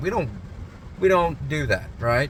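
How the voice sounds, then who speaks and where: There is noticeable background noise as a man speaks at a very slow pace. His pitch swings very widely. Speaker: security company owner and vlogger. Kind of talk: personal vlog.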